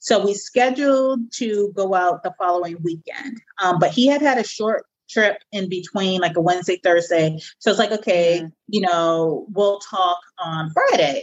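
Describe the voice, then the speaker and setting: A normal speaking voice from a woman, pitched in the middle of her range, moderately paced and ordinary in its pitch variation. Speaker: podcast co-host, single mother by choice. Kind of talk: casual chat.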